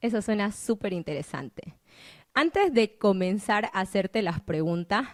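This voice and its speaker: A normal speaking voice from a woman at medium pitch, fairly slow in pace with lively intonation. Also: dry, close sound with no echo. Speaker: podcast host. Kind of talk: interview.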